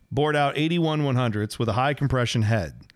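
In a very clean recording with a silent background, a man speaks in an ordinary speaking voice at a moderate pace with ordinary pitch variation. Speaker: podcast host and motorsports historian. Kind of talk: podcast narration and conversation about racing history.

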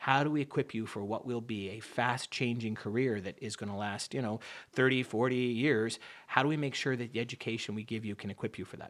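A man speaks very fast at a medium pitch, with fairly even intonation. The recording is very clean, with a silent background. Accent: slight Canadian. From Canada and upstate New York. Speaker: business school dean. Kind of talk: radio interview.

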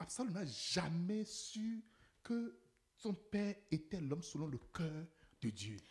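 Very slow pace with long, frequent pauses. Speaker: preacher. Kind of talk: sermon preached in French, paused for line-by-line English interpretation. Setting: church with congregation, interpreter.

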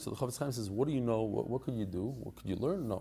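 A man with an American accent, very fast in pace, with a dark, mellow tone. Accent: American English with Yeshivish tinge. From US Northeast. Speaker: Daf Yomi teacher. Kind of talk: interview conversation. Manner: casual, hesitant with fillers.

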